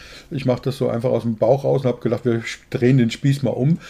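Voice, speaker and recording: Somewhat breathy, this man's medium-pitched voice carries a dark, mellow tone. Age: 60s. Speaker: podcast co-host, business coach. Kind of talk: interview.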